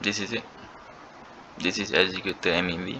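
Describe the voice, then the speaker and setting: A man with a non-native accent at a moderate pace. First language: not English. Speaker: crypto trading bot developer. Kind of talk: screen-recorded tutorial. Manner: halting.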